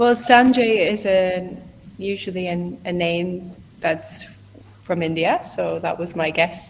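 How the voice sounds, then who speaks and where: Speaking very slowly with an Irish Midlands accent, a woman uses a medium pitch with ordinary variation and big swings in loudness. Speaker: online English tutor. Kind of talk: casual conversation practice.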